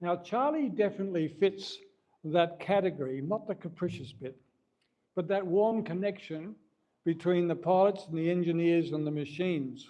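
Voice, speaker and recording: A man with an Australian accent, high-pitched for a man, with a dark, mellow tone, ordinary pitch variation and a moderate pace. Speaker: mission aviation representative. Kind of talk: speech to an audience.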